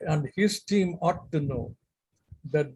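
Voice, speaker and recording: Very slow speech with an Indian accent. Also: man. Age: 80s+. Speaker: retired civil servant. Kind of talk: speech at online event. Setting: video call. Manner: slow, measured.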